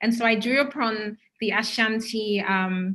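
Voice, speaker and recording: A woman speaks in a Ghanaian accent with a fairly high pitch. Her intonation stays fairly even. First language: Twi. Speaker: curator and cultural researcher. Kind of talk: online talk with slides.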